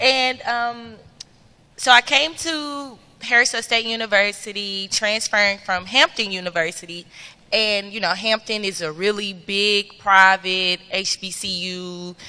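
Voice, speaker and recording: At a medium pitch, a woman speaks with a slight Memphis accent. Her pace is fairly slow, with ordinary pitch variation. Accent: Southern (Memphis), slight. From US South, Memphis, Tennessee. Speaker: student government president, panelist. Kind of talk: panel discussion.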